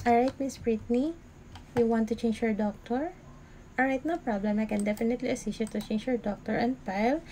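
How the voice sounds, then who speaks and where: A woman with a dark, mellow, somewhat breathy voice speaks with fairly even intonation. Light background noise is present. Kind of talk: role-play customer service call.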